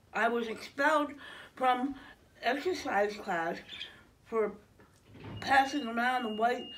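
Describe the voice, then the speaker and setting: The speech moves at a very slow pace. Its pitch variation is ordinary. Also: woman, high pitch for a woman. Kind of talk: reading a comic skit aloud. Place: home room. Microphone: phone near.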